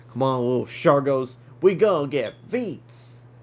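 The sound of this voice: Using a put-on character voice, a man speaks at a fairly high pitch and a fairly slow pace.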